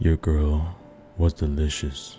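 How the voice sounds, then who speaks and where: Over clear music in the background, a man uses a put-on character voice at a very deep, low pitch. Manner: menacing, murmured.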